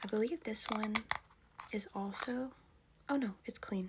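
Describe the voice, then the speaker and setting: Soft-spoken and calm in tone, the voice moves at a fairly slow pace with ordinary pitch variation against noticeable background noise. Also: woman. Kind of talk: ASMR vintage makeup collection show-and-tell. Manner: soft-spoken, calm.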